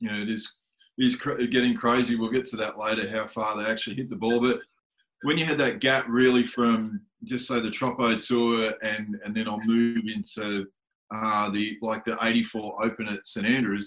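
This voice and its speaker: This man talks at a moderate pace with an Australian accent. His medium-pitched voice stays monotone and flat. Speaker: podcast host. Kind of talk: casual interview.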